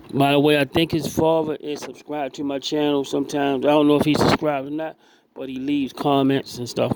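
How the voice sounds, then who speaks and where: The intonation is monotone and flat. Noticeable background noise can be heard. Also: man. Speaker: boxing commentator on own channel. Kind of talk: video breakdown commentary. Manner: repetitive, stammering.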